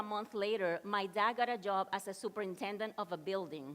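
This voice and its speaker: Here a woman speaks with a Spanish accent. Her pace is moderate. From Dominican Republic. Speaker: motivational speaker. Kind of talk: keynote talk.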